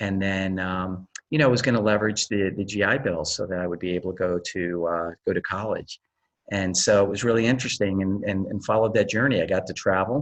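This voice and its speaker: A man talks in an ordinary speaking voice with a fairly low pitch. The background is quiet. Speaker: tech executive and Air Force veteran. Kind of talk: interview.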